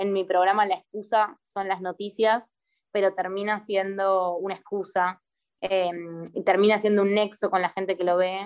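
With monotone, flat intonation, a woman talks at a medium pitch and a moderate pace. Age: 20s. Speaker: performing artist and poet. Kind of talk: casual interview. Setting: video call.

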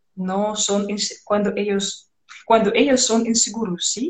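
A woman with a Russian accent speaks very slowly at a medium pitch, her intonation fairly even. Room echo is audible. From Belarus. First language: Russian (speaking Spanish). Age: 20s. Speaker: radio host, Spanish learner. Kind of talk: casual interview chat. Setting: Instagram live stream. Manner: halting, many fillers.

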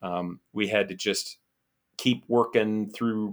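A man with an American accent, fairly low pitch and monotone, flat intonation, on a very clean recording with a silent background. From Germany and Ohio, US military family. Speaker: former astronaut. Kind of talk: interview. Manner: hesitant, many fillers.

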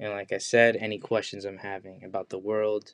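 A man's fairly low voice in an American accent, monotone and flat in intonation, at a moderate pace. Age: 20s. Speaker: podcast host. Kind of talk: casual monologue. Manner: casual, hesitant.

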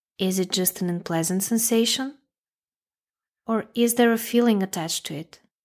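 Leaving long, frequent pauses, a woman speaks in a calm, soothing tone at a medium pitch with ordinary pitch variation. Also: very clean recording, silent background. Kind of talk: guided meditation. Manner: slow, calm, soothing, gently paced with long pauses; soft-spoken, instructional, addressing the listener directly.

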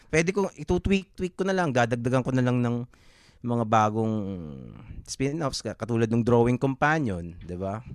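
A man's normal speaking voice, medium-pitched, with lively intonation at a moderate pace, in a dry, close sound with no echo. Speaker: comic artist and podcaster. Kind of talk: casual chat.

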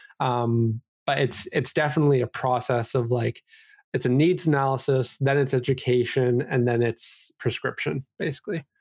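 A man with a Canadian accent and a normal speaking voice talks at medium pitch with ordinary pitch variation and very even loudness, his sound dry and close with no echo on a very clean recording with a silent background. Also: moderate pace. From Vancouver, Canada. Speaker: esports company CEO. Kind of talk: casual interview.

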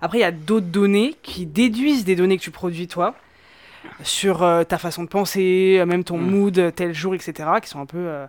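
A woman talks at a fairly slow pace in a plain, everyday voice. Her pitch is medium with ordinary variation, and her loudness swings widely. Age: 20s. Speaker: data scientist. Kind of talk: casual chat.

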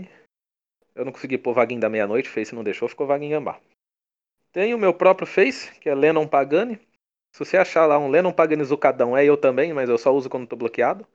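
A man with a São Paulo interior accent, fairly high in pitch and lively in intonation. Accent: caipira (São Paulo countryside). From interior of São Paulo state, Brazil (São Carlos). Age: 20s. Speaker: comic creator. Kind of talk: casual interview chat.

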